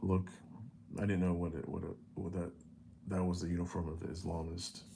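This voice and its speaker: This man has a very deep, low pitch, a dark, mellow tone and vocal fry, with an American accent. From United States. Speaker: vlogger. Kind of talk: personal storytelling monologue. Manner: halting, many fillers and restarts; casual.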